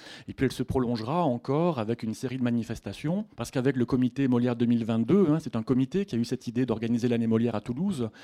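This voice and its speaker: With a southern French accent, the voice has a dark, mellow tone and moves at a very fast pace with hardly any pauses, recorded with a dry, close sound with no echo against a quiet background. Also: man, medium pitch for a man, ordinary pitch variation. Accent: southern French (Midi). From Haute-Provence, Sisteron. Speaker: literature lecturer. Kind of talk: lecture. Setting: bookshop stage with audience.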